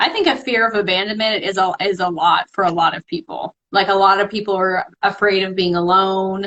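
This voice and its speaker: A woman talks with hardly any pauses and fairly even intonation. Hers is an unremarkable speaking voice at a medium pitch. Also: fairly quick pace. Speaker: spiritual healer. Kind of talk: live-stream conversation. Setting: live video stream.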